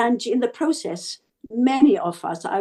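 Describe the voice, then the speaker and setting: A woman with a Zimbabwean accent speaks at a moderate pace with lively intonation. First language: Shona. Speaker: interview guest. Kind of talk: interview.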